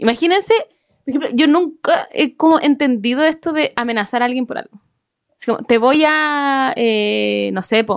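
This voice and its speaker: Speaking fairly slowly with lively intonation, a woman uses a high voice and a Chilean accent. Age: 20s. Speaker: podcast co-host. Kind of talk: casual chat.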